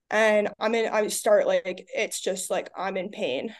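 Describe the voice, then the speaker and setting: A woman with an American accent talks at a fairly slow pace. Hers is an ordinary speaking voice, fairly high in pitch. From US Northeast, Long Island. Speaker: college athlete. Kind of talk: casual interview.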